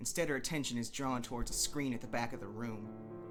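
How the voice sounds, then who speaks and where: A man talks with lively intonation. Behind him, music plays. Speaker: audio drama reader. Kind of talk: narration read of fan fiction, dramatic.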